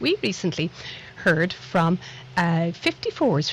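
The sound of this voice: Fairly low-pitched woman in a Dublin accent, big pitch swings, moderate pace. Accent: Dublin Irish.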